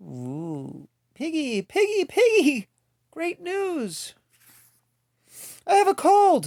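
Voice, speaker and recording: A squeaky put-on character voice at a very slow pace, with long, frequent pauses, on a very clean recording with a silent background. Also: man, extremely high pitch for a man. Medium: read story. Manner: anxious, dramatic.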